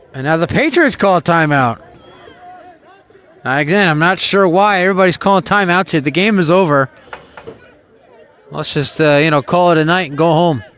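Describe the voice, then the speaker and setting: With an American accent and a high voice, a man talks at a fairly quick pace with long, frequent pauses and ordinary pitch variation, over noticeable background noise. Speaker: sports play-by-play announcer. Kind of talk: live commentary. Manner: conversational, opinionated asides.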